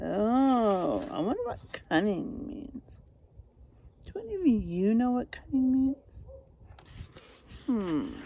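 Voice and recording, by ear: A woman speaks slowly, with long, frequent pauses. Her fairly high pitch swings widely.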